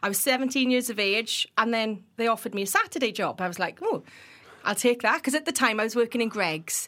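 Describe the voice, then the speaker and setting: Her pitch is fairly high, with ordinary pitch variation. The woman talks at a fairly quick pace. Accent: Welsh. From Wales. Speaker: builders merchant industry professional. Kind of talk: casual podcast interview. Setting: studio. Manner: infectious, enthusiastic.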